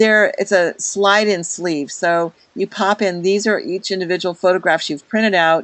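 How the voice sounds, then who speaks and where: This is an unremarkable speaking voice at a moderate pace with fairly even intonation. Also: woman. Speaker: product consultant leading a training webinar. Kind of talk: online product walkthrough to a group. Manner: casual with many fillers.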